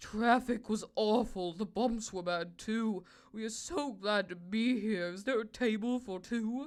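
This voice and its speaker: A woman's put-on character voice, fairly high and fairly slow, with hardly any pauses. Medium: read story. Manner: regal.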